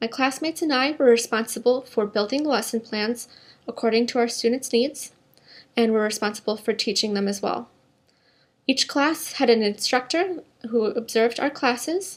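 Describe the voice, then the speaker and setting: This is a woman with a high pitch. Her pitch varies in an ordinary way. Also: moderate pace. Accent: American. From US Midwest, Minnesota. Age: 20s. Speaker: job applicant, English teacher. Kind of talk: scripted self-introduction. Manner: formal.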